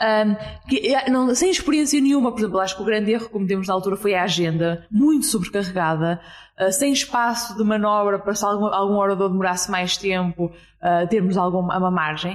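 A woman talks at a fairly quick pace with hardly any pauses and ordinary pitch variation. Hers is an unremarkable speaking voice at medium pitch. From Portugal, Porto. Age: 20s. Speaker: startup entrepreneur. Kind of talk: interview. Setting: hostel room in Lisbon.

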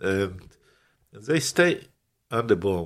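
A man with a Ukrainian accent, fairly low-pitched, at a moderate pace with ordinary pitch variation, in a very clean recording with a silent background. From Ukraine. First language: Ukrainian or Russian. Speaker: pastor. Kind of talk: testimony. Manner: halting, searching for words.

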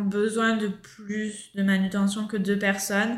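Audible room echo surrounds a woman speaking at a fairly high pitch. Her intonation is monotone and flat. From France, Marseille. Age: 30s. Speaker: backpacker, former fruit picker. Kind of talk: casual interview.

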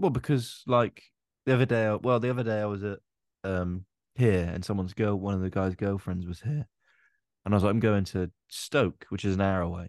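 A man's ordinary speaking voice at a fairly low pitch and fairly quick pace, with ordinary pitch variation, a dry, close sound with no echo and a quiet background. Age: 20s. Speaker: podcast host and comedian. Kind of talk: casual chat.

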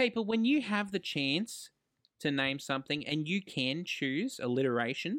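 The speaker has an Australian accent. Their pitch swings very widely. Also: man, fairly high pitch for a man, moderate pace, very even loudness. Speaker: podcast co-host. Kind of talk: casual chat.

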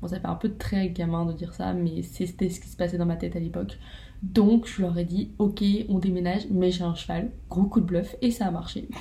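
A woman talks at a moderate pace with big swings in loudness. Audible room echo surrounds her voice. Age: 20s. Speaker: student podcaster, horse owner. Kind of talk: casual monologue.

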